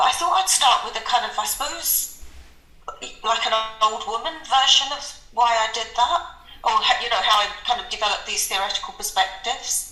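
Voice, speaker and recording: Speaking in a London accent, a woman talks at a fairly quick pace with a high pitch and very wide pitch swings. Audible room echo and noticeable background noise surround her voice. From southeast London, England. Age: 60s. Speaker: accounting professor. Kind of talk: interview. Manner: hesitant, many fillers.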